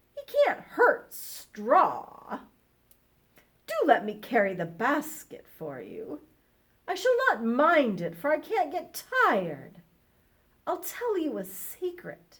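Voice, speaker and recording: Using a put-on character voice, a woman sounds husky and high-pitched, moving at a very slow pace with long, frequent pauses. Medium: read story. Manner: polite, gentle.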